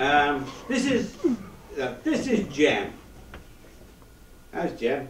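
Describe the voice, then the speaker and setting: Speaking very slowly, a man leaves long, frequent pauses and uses a fairly high pitch with very wide swings. Noticeable background noise runs underneath. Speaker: stage performer. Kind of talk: live stage show talk to audience.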